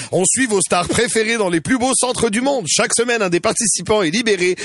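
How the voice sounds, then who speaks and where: A man speaks at a high pitch with ordinary pitch variation amid noticeable background noise. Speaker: radio host. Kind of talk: casual chat. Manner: animated.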